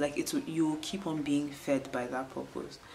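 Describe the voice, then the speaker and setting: A woman with a very deep, low pitch is heard through audible room echo and noticeable background noise. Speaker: beauty and lifestyle vlogger. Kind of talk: casual vlog talk to camera. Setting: at home, indoors on a rainy day. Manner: calm, soft ASMR-like.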